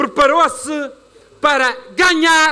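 In a raised, projected voice with a bright, sharp tone, a man speaks animatedly at a fairly slow pace. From Madeira, Portugal. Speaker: regional party leader; politician giving a rally speech. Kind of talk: political rally speech. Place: stage. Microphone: podium.

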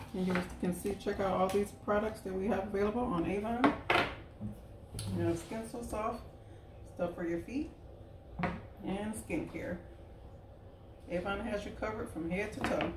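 Loud background noise surrounds a woman speaking at a moderate pace with ordinary pitch variation and long, frequent pauses. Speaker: direct sales representative. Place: kitchen. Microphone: camera far.

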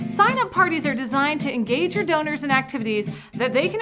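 A high-pitched woman talks at a very fast pace with lively intonation and an upbeat, enthusiastic tone. Clear music plays in the background. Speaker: auctioneer and auction consultant host. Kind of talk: instructional presentation to camera. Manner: upbeat, friendly, enthusiastic. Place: studio. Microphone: lapel.

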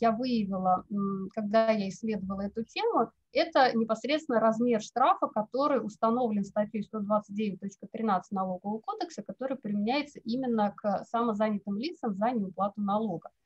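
A woman with a fairly high pitch sounds somewhat breathy against a quiet background. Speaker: legal researcher. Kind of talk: academic presentation. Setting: video call. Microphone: video call.

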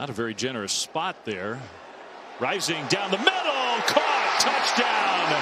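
Excited and high-pitched, a man speaks fairly slowly with very wide pitch swings against noticeable background noise. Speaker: play-by-play and color commentator. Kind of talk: live college football game commentary, highlight-call style. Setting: broadcast booth at stadium. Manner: excited bursts on scoring plays, rising energy; brisk, clipped play calls mixed with analytical asides.

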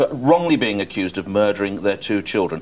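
With a British accent, a man speaks at a fairly quick pace and with lively intonation. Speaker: studio pundit. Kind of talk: studio discussion. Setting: studio. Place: studio. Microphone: lapel.

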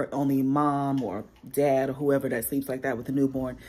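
Her pitch very deep and low, a woman speaks at a moderate pace. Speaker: mom vlogger. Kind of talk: casual vlog chat. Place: home room. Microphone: phone near.

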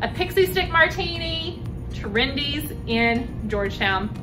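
A woman speaks in a raised, projected voice with clear music in the background. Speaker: real estate agent host. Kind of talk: promotional interview and outro. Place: bar. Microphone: camera far.

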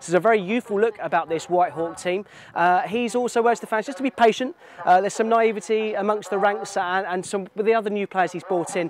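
In a dry sound with no echo and light background noise, a man speaks at a high pitch and a fairly quick pace with fairly even intonation. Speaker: presenter. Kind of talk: presenter piece to camera. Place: stadium. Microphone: lapel.

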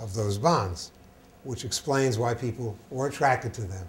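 At a moderate pace, a man talks in a somewhat breathy voice with ordinary pitch variation. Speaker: guest lecturer. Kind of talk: lecture. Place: hall. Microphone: lapel.

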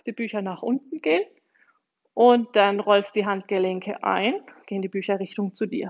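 At a moderate pace and with ordinary pitch variation, a woman speaks against a quiet background. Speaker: exercise instructor. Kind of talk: tutorial. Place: gym.

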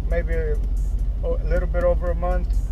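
Clear music plays in the background while a man speaks, and the sound is dry with no echo. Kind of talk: casual vlog chat. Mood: a bit down, resigned. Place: car.

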